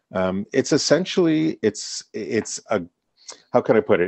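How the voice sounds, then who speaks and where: At a moderate pace, a man talks at medium pitch in an ordinary speaking voice. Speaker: guest co-host, business executive. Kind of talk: radio interview.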